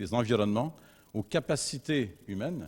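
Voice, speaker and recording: Speaking at a medium pitch, a man lets his voice move in very wide pitch swings. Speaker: university researcher. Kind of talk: conference talk. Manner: hesitant, many fillers.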